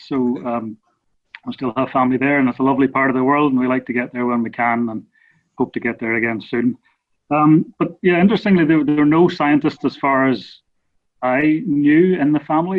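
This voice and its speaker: Speaking at a fairly quick pace, a man with a Northern Irish accent uses a fairly high pitch and ordinary pitch variation. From Northern Ireland. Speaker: research scientist. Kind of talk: casual interview.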